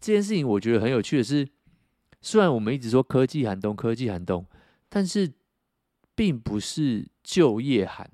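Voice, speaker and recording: A man with a medium pitch and a dark, mellow tone swings his pitch very widely, leaving long, frequent pauses. The recording is very clean with a silent background and a dry, close sound with no echo. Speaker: podcast co-host. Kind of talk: casual chat. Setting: motel room.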